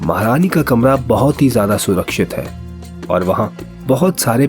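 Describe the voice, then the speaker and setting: Music plays behind a man whose intonation rises and falls in a lively way. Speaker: voice artist. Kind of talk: children's story narration.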